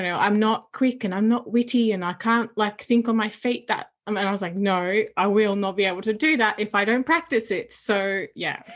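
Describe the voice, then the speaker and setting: A woman with a slight non-native accent speaks at a fairly high pitch and a moderate pace. Her pitch varies in an ordinary way over a quiet background. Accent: barely noticeable non-native. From Netherlands. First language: Dutch. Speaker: podcast host. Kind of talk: casual interview chat. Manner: animated.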